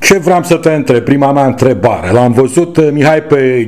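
Against noticeable background noise, a man talks at medium pitch. His pace is fairly slow and his intonation lively. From Romania. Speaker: podcast host. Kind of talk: interview.

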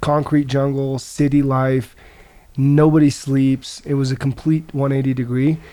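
With an American accent, a man speaks fairly slowly at a fairly high pitch in a dark, mellow tone, keeping his loudness very even and his intonation monotone and flat. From US Midwest, rural Nebraska. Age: 20s. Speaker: mixed martial arts fighter. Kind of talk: casual chat.

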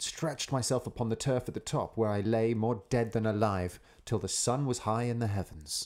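In a natural voice, the reader goes through the text with fairly even intonation.

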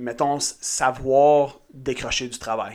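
This is a man's voice at medium pitch. He speaks at a very slow pace. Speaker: podcast co-host, entrepreneur. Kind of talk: casual chat.

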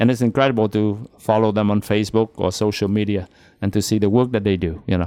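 A man's very fast speech in a Vietnamese accent, fairly low-pitched with a dark, mellow tone, fairly even intonation and very even loudness. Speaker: priest.

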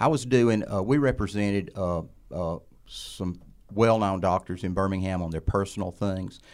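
A man's fairly low voice with an Alabama accent, in a very clean recording with a silent background. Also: ordinary pitch variation, moderate pace. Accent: Southern US (Alabama). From Alabama, US South. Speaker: attorney and former legislator. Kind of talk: interview.

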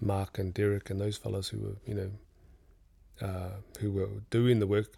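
A man is speaking. His voice is somewhat breathy. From New Zealand. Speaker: businessman and artist. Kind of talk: casual interview chat. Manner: relaxed, conversational.

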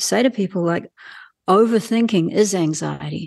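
A woman speaks with a New Zealand accent. The background is quiet. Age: 60s. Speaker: healthcare professional and coach. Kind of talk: interview.

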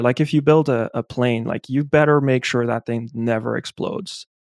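A man with a French accent speaks at a moderate pace with fairly even intonation. The background is quiet and the sound is dry and close, with no echo. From France. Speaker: geospatial data scientist and podcaster. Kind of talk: casual interview chat.

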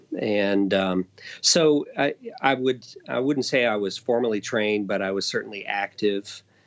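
This man has an unremarkable speaking voice, fairly low in pitch, with ordinary pitch variation and a moderate pace. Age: 50s. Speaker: guitarist and musical theater pit musician. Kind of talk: casual interview chat.

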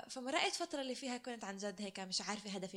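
The woman has a normal speaking voice, medium in pitch with ordinary variation, and talks at a fairly quick pace. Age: 20s. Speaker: podcast co-host, occupational therapy student. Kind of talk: casual chat, personal testimony.

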